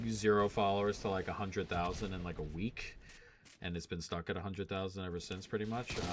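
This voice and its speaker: A man with a very deep, low voice talks at a very fast pace with fairly even intonation. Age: 30s. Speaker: gaming and sports betting streamer. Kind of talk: casual live-stream chat. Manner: casual, filler-heavy.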